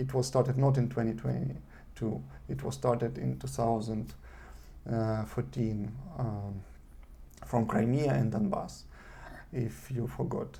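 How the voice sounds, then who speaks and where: A man with vocal fry speaks at a fairly slow pace, with very wide pitch swings, long, frequent pauses and audible room echo. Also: medium pitch for a man. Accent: non-native. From eastern Ukraine (Donetsk), Russian-speaking. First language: Russian. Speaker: vlogger. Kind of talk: video monologue. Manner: halting, many fillers.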